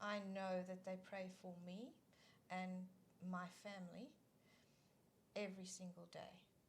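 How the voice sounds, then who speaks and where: In a room with audible echo, a woman with a South African accent talks at a fairly slow pace in a medium pitch, somewhat breathy and monotone with flat intonation, leaving long, frequent pauses. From South Africa (East London). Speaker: children's ministry leader. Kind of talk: casual interview chat.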